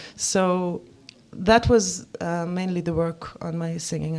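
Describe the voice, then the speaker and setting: A woman speaks with an Israeli accent. Her pitch sits fairly low. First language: Hebrew. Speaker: musician and songwriter. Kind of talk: interview. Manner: halting.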